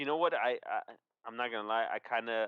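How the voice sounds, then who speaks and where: Moderate pace, with a dry, close sound and no echo. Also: man. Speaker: sports podcast co-host. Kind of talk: casual sports chat livestream. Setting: livestream. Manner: loud.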